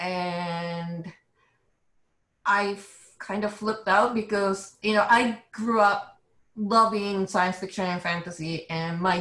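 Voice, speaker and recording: A woman with a Japanese accent talks very slowly with fairly even intonation. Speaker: illustrator. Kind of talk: interview.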